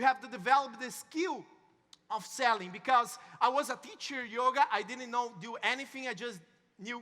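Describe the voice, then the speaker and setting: Speaking in a raised, projected voice with a Brazilian Portuguese accent, a man has an extremely high pitch, a bright, sharp tone, big swings in loudness and ordinary pitch variation. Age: young. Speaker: network marketing speaker. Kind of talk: motivational talk. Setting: stage with audience. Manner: halting.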